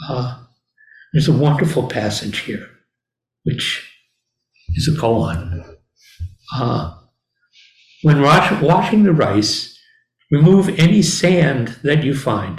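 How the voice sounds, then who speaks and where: A man speaks at a very slow pace with long, frequent pauses, a fairly high pitch, and vocal fry. His pitch swings very widely, and the room echo is audible. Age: old. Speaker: Zen teacher. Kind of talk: dharma talk.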